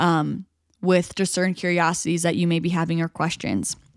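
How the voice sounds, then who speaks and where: A woman with an American accent and a fairly low pitch speaks in an ordinary speaking voice at a moderate pace. Her intonation is fairly even, and the sound is dry and close with no echo. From New York State, small town. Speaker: podcast host. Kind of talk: solo podcast monologue. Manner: casual, filler-heavy.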